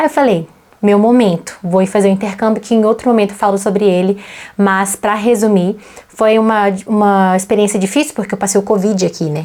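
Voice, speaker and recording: This woman has a Brazilian accent and a dark, mellow tone at a medium pitch. She speaks at a fairly quick pace with fairly even intonation. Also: very even loudness. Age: 20s. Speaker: vlogger and English teacher. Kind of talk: casual personal vlog monologue.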